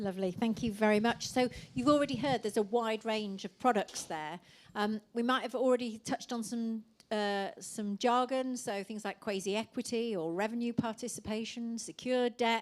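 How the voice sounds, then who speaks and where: With an English Midlands accent, a woman speaks at a moderate pace in a fairly high pitch with fairly even intonation. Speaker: panel moderator. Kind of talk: panel moderation.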